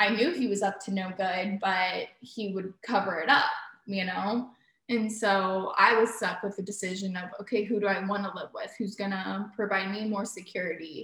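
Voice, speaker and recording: A woman of medium pitch speaks in an ordinary speaking voice. Her intonation is fairly even, at a moderate pace. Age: 20s. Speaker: host's daughter. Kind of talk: casual chat.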